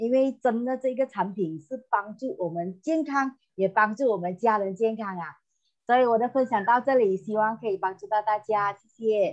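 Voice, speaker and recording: Against a quiet background, a woman at a fairly high pitch speaks at a moderate pace with big swings in loudness. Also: ordinary pitch variation. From Malaysia, Johor Bahru; Malaysia. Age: 50s. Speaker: customer giving product testimonial. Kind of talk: testimony. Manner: halting, many fillers and repetitions. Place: home room. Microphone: earbuds.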